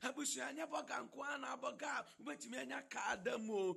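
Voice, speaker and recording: A high-pitched man uses a raised, projected voice with very wide pitch swings. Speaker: minister leading prayer. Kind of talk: prayer. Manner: fervent.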